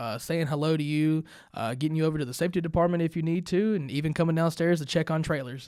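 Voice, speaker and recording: Delivered at a very fast pace with fairly even intonation, the recording is very clean with a silent background. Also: man. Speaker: trucking operations manager. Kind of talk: casual interview. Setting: podcast room. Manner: loud.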